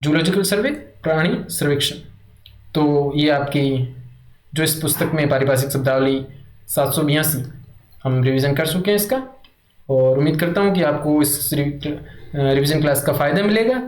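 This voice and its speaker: A somewhat breathy man with a fairly high pitch and ordinary pitch variation, at a fairly slow pace, amid audible room echo. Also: very even loudness. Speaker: Hindi exam coaching teacher. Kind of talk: revision lecture.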